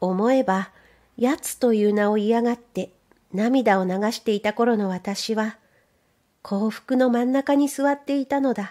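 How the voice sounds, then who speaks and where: In a very clean recording with a silent background, a woman speaks at a fairly slow pace with a calm, dark, mellow tone, fairly high pitch and ordinary pitch variation. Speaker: audiobook narrator. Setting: studio. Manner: calm, unhurried, measured pace with clear enunciation.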